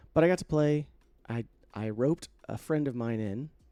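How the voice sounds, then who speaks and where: Moving at a moderate pace, a man with a dark, mellow tone speaks with lively intonation. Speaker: podcast host. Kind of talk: solo podcast monologue. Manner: casual, filler-heavy.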